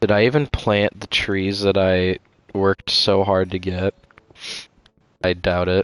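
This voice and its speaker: Recorded with a dry, close sound and no echo, a man talks at a fairly slow pace and fairly low pitch, with fairly even intonation and long, frequent pauses. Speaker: streamer. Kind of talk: casual chat. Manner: monotone.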